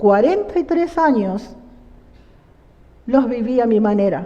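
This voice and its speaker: Speaking fairly slowly, a woman uses a high voice that swings very widely in pitch. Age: 60s. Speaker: church member giving testimony. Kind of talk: testimony.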